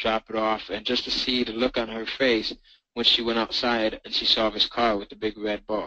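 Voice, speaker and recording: The man's voice is bright and sharp, with a medium pitch. He speaks at a moderate pace. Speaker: online marketing trainer. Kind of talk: sales webinar presentation. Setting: online webinar. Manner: enthusiastic.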